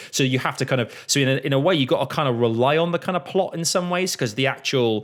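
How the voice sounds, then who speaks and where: Speaking at a very fast pace with a Mancunian accent, a man uses a fairly high pitch and ordinary pitch variation in a very clean recording with a silent background. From Manchester, England. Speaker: podcast host. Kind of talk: casual chat. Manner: halting.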